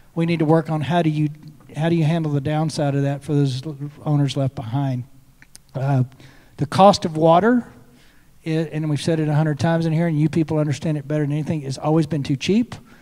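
Speaking very fast with a West Texas accent, a man leaves long, frequent pauses against a quiet background. His tone is dark and mellow, with fairly even intonation. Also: fairly high pitch for a man. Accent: West Texan. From Texas, Lubbock area. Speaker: state senator. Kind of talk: panel discussion. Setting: stage with audience at a conference. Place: stage. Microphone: handheld.

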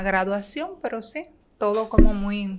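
Over light background noise, the speaker uses lively intonation at a very slow pace. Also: woman. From Dominican Republic, San Pedro de Macorís; Dominican Republic. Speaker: bank manager; podcast guest. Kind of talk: casual interview. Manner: talkative. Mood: relaxed, warm. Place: studio. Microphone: studio mic.

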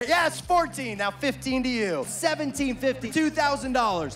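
Over loud music in the background, a man with an American accent uses a raised, projected voice at an extremely high pitch. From Seattle, US. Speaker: auctioneer and event MC. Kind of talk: auctioneer bid calling at a charity fundraiser. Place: hall. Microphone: handheld.

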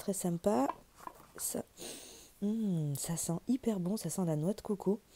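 Speaking very slowly, a woman has a dark, mellow tone. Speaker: beauty youtuber. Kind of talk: unboxing video. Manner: casual, conversational. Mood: cheerful, pleased. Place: home room. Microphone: phone near.

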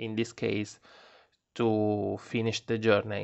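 A man speaks with an Italian accent at a medium pitch. His intonation is monotone and flat. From Italy. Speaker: tarot reader. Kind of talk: tarot reading video. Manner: halting.

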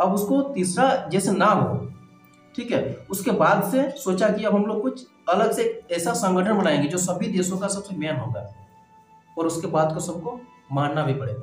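A man speaks in a high voice at a fairly slow pace, with long, frequent pauses. Room echo is audible, and faint music plays in the background. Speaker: teacher. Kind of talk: lecture. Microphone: phone near.

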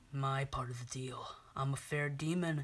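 This cartoonish character voice sits at a low-to-middle pitch and has a smug, menacing tone. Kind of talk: puppet show horror parody. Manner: smug, taunting, menacing.

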